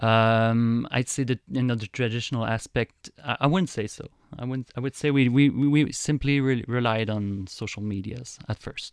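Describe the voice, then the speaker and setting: A man's medium-pitched voice with a French accent and fairly even intonation, hardly any pauses, a dry, close sound with no echo, and a quiet background. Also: moderate pace. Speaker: YouTuber. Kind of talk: interview.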